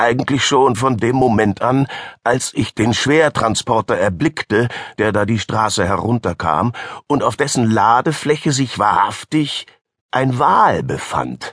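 Over a quiet background, a man with an ordinary speaking voice talks at a medium pitch and a fairly slow pace, with ordinary pitch variation. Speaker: audiobook narrator. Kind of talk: audiobook narration, first-person fiction read aloud. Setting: studio. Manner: formal, fluent literary delivery.

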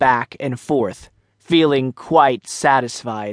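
A man speaks with ordinary pitch variation. The sound is dry and close, with no echo. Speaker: audiobook narrator. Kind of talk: audiobook narration of a children's story. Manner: measured, storytelling pace with light character voices for dialogue.

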